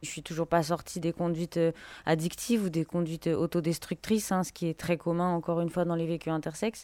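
With a fairly low pitch and a dark, mellow tone, a woman speaks at a fairly quick pace and with fairly even intonation, in a dry, close sound with no echo on a very clean recording with a silent background. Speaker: intersex activist. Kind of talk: testimony.

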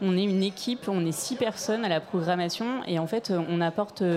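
Over noticeable background noise, a woman speaks at a moderate pace with a medium pitch and ordinary pitch variation. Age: 30s. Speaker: radio programmer. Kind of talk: panel discussion. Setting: stage with audience.

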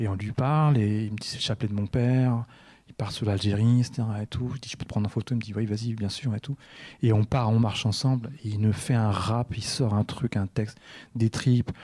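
A man talks at a moderate pace in a somewhat breathy, dark, mellow voice of medium pitch, with fairly even intonation. The very clean recording has a silent background and a dry, close sound with no echo. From Orléans-la-Source, France. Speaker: artist photographer. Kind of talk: radio interview. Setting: studio. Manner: halting, repeats words.

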